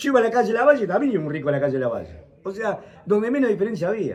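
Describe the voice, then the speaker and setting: A man with an Argentine accent talks at a very fast pace. His tone is animated, with very wide pitch swings. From Argentina (interior province). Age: 70s. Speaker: university professor, economist. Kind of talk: talk to audience at breakfast. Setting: breakfast talk with audience.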